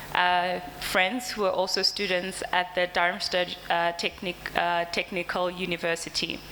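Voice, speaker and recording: With noticeable background noise behind her, a woman speaks at a fairly low pitch and a fairly slow pace, with hardly any pauses, monotone, flat intonation and very even loudness. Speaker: company representative presenting products. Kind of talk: conference presentation. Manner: hesitant, many fillers.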